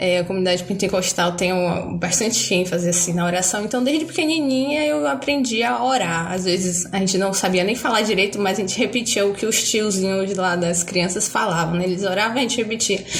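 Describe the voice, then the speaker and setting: Speaking at a fairly quick pace with hardly any pauses, a woman keeps a medium pitch, lively intonation and very even loudness. Audible room echo and noticeable background noise are present. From Bahia, Brazil. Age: 20s. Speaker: student and churchgoer. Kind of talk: casual interview about faith.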